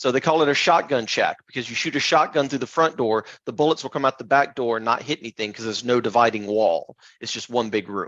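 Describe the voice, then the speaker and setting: A man speaks very fast with hardly any pauses, at a medium pitch with ordinary pitch variation. The sound is dry and close, with no echo. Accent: American. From US South (Tupelo, Mississippi). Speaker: software architect, tech speaker. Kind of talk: technical presentation.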